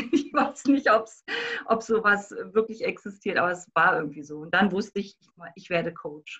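Her tone bright and sharp, a woman with a fairly high pitch speaks with big swings in loudness. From Berlin. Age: 50s. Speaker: life coach. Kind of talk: interview.

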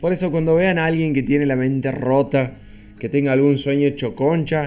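Fairly even intonation over music in the background. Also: man. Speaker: podcast host. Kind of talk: casual chat.

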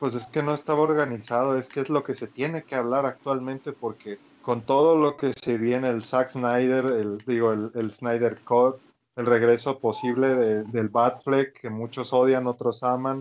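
A man's medium-pitched, monotone, flat voice with a Mexican accent at a fairly slow pace. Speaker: podcast co-host. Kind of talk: casual chat.

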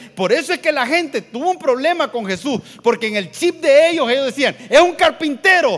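At a moderate pace, a man speaks in an extremely high pitch with lively intonation. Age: 50s. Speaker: pastor. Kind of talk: sermon.

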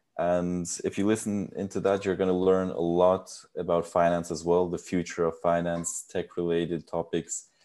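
A man with an American accent and a very deep, low pitch talks at a moderate pace with hardly any pauses. His intonation is monotone and flat against a quiet background. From United States. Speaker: podcast co-host and student. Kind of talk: casual chat.

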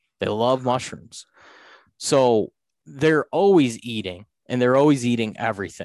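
In an unremarkable speaking voice, a man talks at a moderate pace with a medium pitch and lively intonation. The sound is dry and close, with no echo. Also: quiet background. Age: 30s. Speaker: deer hunter. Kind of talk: casual chat.

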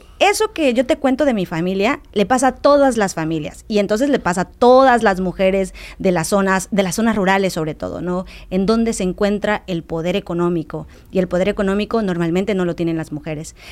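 Here is a woman with a plain, everyday voice at a medium pitch. She speaks at a fairly quick pace with lively intonation. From Mexico, Quintana Roo near Campeche border. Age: 30s. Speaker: activist. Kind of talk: interview.

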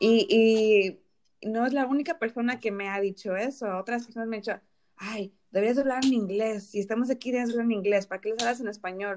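A woman's fairly high voice races along at a very fast pace. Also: fairly even intonation. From Dallas, Texas, US; Mexican parents. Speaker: podcast co-host. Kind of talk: casual chat.

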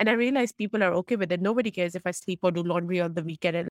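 This woman talks at a very fast pace. Her pitch is fairly low. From Pakistan. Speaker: technology consultant. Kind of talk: interview.

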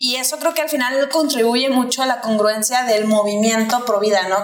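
There is audible room echo and music in the background as a woman speaks with a Mexican accent. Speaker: podcast co-host. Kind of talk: interview conversation.

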